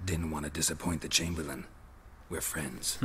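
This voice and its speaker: In a put-on character voice, a man with a very deep, low pitch talks at a moderate pace over clear background noise. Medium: video game. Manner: dry, deadpan.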